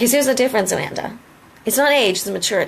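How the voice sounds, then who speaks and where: The tone is animated and the pace very fast. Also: woman. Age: 30s. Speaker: lip cosmetics distributor. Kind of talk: motivational live video. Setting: live video.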